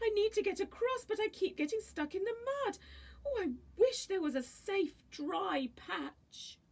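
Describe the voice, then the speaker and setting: The speaker uses a put-on character voice. The pace is moderate. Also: woman, extremely high pitch for a woman. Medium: read story.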